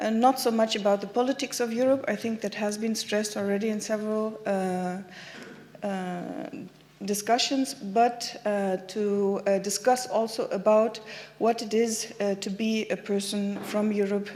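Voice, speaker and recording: A woman's medium-pitched voice, fairly slow and fairly even in intonation, with audible room echo. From Germany. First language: German. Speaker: activist speaker. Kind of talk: conference talk. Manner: halting.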